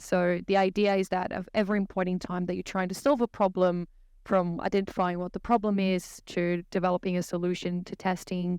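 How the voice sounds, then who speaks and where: A woman with a Brazilian accent, medium in pitch, monotone and flat, at a fairly quick pace, in a very clean recording with a silent background. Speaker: technology services consultant. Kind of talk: podcast interview.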